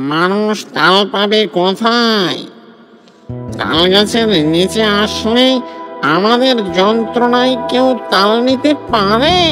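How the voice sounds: A cartoonish character voice speaks at a very slow pace with a fairly high pitch. Clear music plays in the background.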